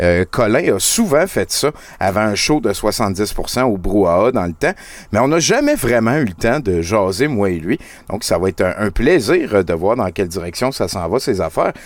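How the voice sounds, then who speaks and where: A man speaks slowly, at a fairly low pitch. His intonation is lively, in a plain, everyday voice. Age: 40s. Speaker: podcast host. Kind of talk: casual chat. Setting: live show streamed on Twitch.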